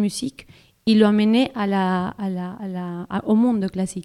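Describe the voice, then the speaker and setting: A woman speaks in a Spanish accent with a dark, mellow tone and flat, monotone intonation, recorded dry and close with no echo. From Colombia, Caribbean region. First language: Spanish (speaking French). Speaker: classical singer. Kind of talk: casual interview. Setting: studio. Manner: halting.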